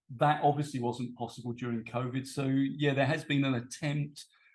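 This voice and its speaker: A man with a British accent speaks at a fairly quick pace and medium pitch, somewhat breathy, with fairly even intonation. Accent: British accent noted by speaker. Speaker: English teacher and PhD student. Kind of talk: conference presentation. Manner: hesitant, many fillers.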